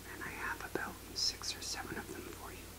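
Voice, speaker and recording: A man talks at a moderate pace while loud background noise fills the clip. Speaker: ASMR creator. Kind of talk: ASMR book review talk to camera. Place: home room.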